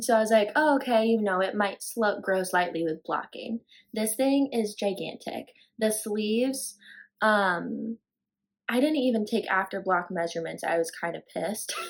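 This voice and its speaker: In a slight Southern US accent, a woman with a fairly high pitch and ordinary pitch variation speaks at a fairly slow pace on a very clean recording with a silent background. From Florida. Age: 20s. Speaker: knitting podcaster. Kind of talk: casual chat. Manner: rambling, casual with fillers.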